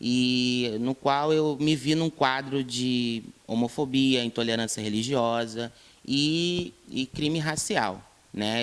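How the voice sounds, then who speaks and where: Medium-pitched male speech, its pitch varying in an ordinary way. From Brazil, Rio de Janeiro state (São Gonçalo). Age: 20s. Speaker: interviewee, activist. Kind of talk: interview.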